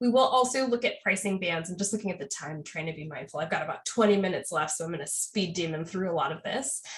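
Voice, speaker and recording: Speaking very fast with hardly any pauses, a woman uses a somewhat breathy, medium-pitched voice and lively intonation. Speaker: software trainer. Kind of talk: tutorial. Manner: casual.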